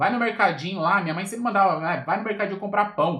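A man's high-pitched voice at a fairly quick pace. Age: 30s. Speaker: motivational podcaster. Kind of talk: casual livestream talk. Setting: Instagram live. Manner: casual, informal with filler words.

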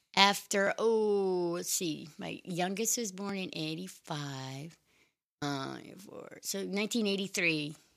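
In a very clean recording with a silent background, a woman with an American accent speaks at a medium pitch and a very slow pace. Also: ordinary pitch variation. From Maine, US. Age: 50s. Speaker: interview guest sharing life story. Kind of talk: casual interview chat.

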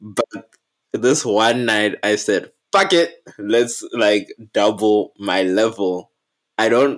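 At a very slow pace with long, frequent pauses, a man speaks at a medium pitch with ordinary pitch variation. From Africa. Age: 20s. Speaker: podcast co-host. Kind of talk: casual chat.

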